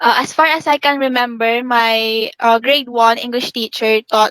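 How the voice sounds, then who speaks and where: A woman speaks at a fairly slow pace and fairly high pitch, with fairly even intonation and a dry, close sound with no echo. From Philippines. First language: Filipino. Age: young. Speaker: university student. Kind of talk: interview.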